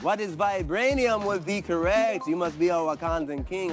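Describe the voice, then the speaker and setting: Clear music plays in the background. Over it, a man speaks in a high pitch. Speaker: game show host. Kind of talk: game show host delivery. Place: studio.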